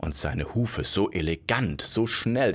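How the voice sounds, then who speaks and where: A man's medium-pitched voice with vocal fry, a warm, playful tone and a fairly slow pace. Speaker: fairy tale podcast narrator. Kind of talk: bedtime story telling, fairy tale narration. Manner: warm, unhurried storyteller, playful; acts out characters with vain, boastful Bonnie voice versus slow, mumbling Paul.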